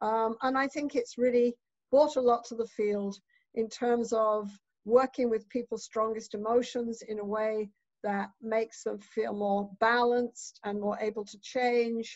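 Against a quiet background, a woman speaks at a fairly slow pace in a monotone, flat intonation. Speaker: keynote speaker. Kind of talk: lecture. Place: home room. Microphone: webcam.

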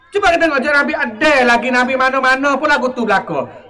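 A man speaks in a raised, projected voice at an extremely high pitch, fairly quickly and with ordinary pitch variation. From Thailand. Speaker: religious teacher and local historian; religious teacher. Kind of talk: history talk. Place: hall. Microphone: handheld.

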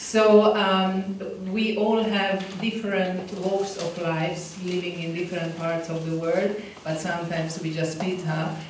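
In a Hungarian accent, a woman speaks with monotone, flat intonation, with audible room echo and light background noise. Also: fairly slow pace. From Hungary. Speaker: diplomat. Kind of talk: conference talk. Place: hall.

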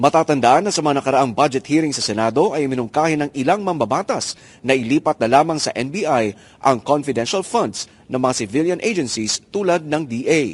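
A man speaks at a moderate pace in a fairly high pitch. His intonation is lively. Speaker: news reporter. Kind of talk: news report. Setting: on location at the Senate.

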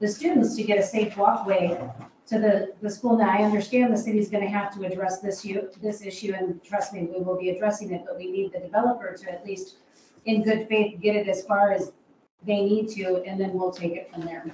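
With audible room echo, a woman talks at a fairly quick pace in a dark, mellow tone and fairly even intonation. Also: medium pitch for a woman.

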